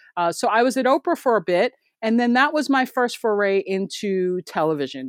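A woman talks in a normal speaking voice at a fairly quick pace with lively intonation, the recording very clean with a silent background and the sound dry and close with no echo. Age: 50s. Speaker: TV news producer. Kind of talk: interview.

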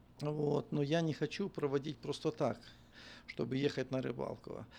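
A man is speaking at a fairly high pitch. His pace is fairly slow. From western Ukraine. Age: 50s. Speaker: bishop and pastor. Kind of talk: casual interview chat.

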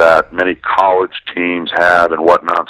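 A man with an American accent talks at a fairly slow pace, the sound dry and close with no echo, and noticeable background noise behind him. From Wisconsin, Milwaukee. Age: 50s. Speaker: sports journalist and author. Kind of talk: interview.

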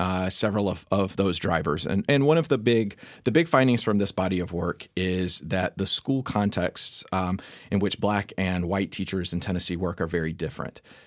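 A man talks at a moderate pace in a plain, everyday voice, fairly low in pitch with ordinary pitch variation. The recording is very clean, with a silent background. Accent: American. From North Carolina. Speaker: education researcher, professor. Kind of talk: expert interview.

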